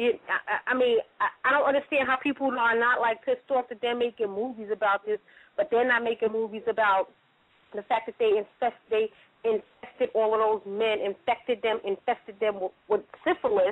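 A woman speaks at a moderate pace with fairly even intonation. The sound is dry, with no echo. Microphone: phone line.

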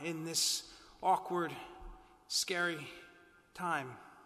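Music plays in the background. The voice has a solemn, gentle tone and moves at a very slow pace. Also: man. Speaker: priest. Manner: formal, solemn, gentle. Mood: calm, reassuring. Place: church.

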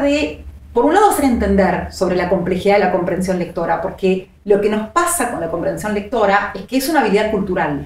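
Audible room echo follows a woman talking at a fairly quick pace with lively intonation. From Argentina. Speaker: psycholinguist; interview guest. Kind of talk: interview. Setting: studio. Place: studio.

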